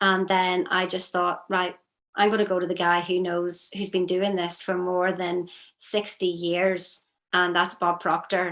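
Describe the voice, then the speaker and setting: A woman speaks with a Northern Irish accent. Her intonation stays monotone and flat. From Northern Ireland. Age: 50s. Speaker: strengths consultant. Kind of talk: interview.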